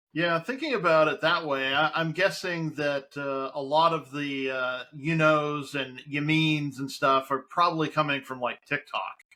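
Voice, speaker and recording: A man with a fairly high pitch and a plain, everyday voice speaks at a fairly slow pace. He keeps his intonation fairly even and hardly any pauses. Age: 40s. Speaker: talk show host. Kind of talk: casual chat. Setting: home studio, live stream.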